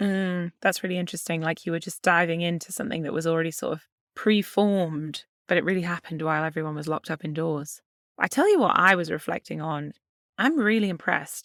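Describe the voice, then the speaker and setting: A British accent at a very fast pace, on a very clean recording with a silent background. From UK. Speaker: podcast co-host. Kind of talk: casual podcast chat.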